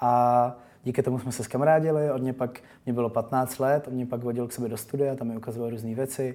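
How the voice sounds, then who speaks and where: A man's medium-pitched voice, dark and mellow in tone, moving at a fairly quick pace with monotone, flat intonation. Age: 20s. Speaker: DJ and musician. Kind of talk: interview.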